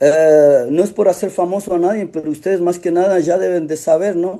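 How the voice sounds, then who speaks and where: Here a man talks with a high pitch and a dark, mellow tone. His intonation is fairly even and his pace moderate. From Otavalo, Ecuador. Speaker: actor. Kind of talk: interview. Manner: halting, with many restarts.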